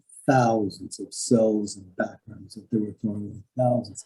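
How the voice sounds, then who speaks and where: At a moderate pace, a somewhat breathy voice with a dark, mellow tone speaks in an American accent. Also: man. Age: 70s. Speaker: animation artist. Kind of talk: interview storytelling. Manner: halting, with many repeated words.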